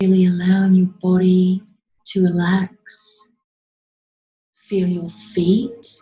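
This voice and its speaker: A woman at a very slow pace, monotone and flat, with long, frequent pauses and music in the background. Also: medium pitch for a woman. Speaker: past life regression therapist and meditation guide. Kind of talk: guided meditation. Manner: slow, calming, with long pauses.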